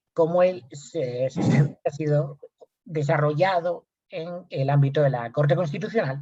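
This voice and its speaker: A man speaks with a Spanish accent in a fairly high voice. His tone is dark and mellow. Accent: Spanish (Spain). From Spain. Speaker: lawyer and researcher. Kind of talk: lecture.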